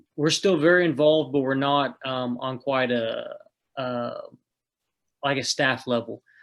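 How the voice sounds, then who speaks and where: A man with an Oklahoma accent and a fairly high pitch talks at a fairly slow pace, with fairly even intonation and long, frequent pauses. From northeast Oklahoma. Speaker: food truck owner. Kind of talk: casual interview.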